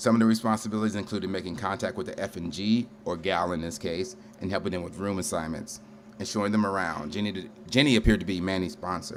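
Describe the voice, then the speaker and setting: Speaking very fast with an American accent, a man with a fairly low pitch is heard amid audible room echo. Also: ordinary pitch variation. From Ohio, Cleveland area. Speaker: storyteller, military veteran. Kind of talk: live storytelling performance. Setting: stage with audience at a brewery.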